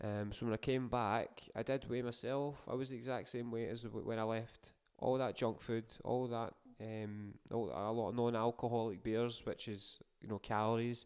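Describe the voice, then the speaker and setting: Moderate-paced speech in a Scottish accent, with monotone, flat intonation. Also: man, medium pitch for a man. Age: 30s. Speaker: podcast host. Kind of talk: casual monologue.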